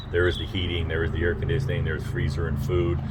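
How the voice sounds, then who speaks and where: There is noticeable background noise behind this speaker. He is a man with a very deep, low pitch. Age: 60s. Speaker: political candidate. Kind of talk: casual interview. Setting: outdoors on a front porch. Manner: halting, many fillers.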